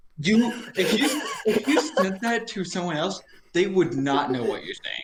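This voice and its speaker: Over noticeable background noise, a high-pitched man talks at a moderate pace, his pitch swinging very widely. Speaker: podcast guest. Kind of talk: casual chat. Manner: words run together.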